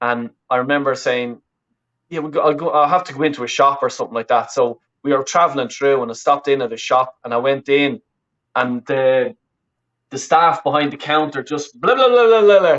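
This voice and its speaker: This man talks at a fairly quick pace, his fairly high pitch moving with ordinary variation. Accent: Dublin. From Ireland, Roscommon then Dublin from age twelve. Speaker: football fan and YouTuber. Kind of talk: casual interview chat. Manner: halting, many repetitions and fillers.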